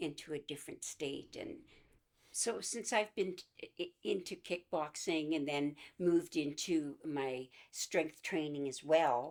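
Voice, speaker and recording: A woman with a Canadian accent and a very deep, low pitch, at a fairly slow pace. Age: 70s. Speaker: kickboxer. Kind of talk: documentary interview answer.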